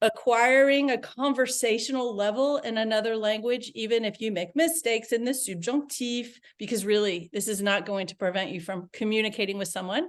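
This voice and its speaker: A plain, everyday voice at a moderate pace with ordinary pitch variation, over a quiet background. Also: woman. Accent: American. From United States. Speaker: language coach. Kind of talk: interview conversation.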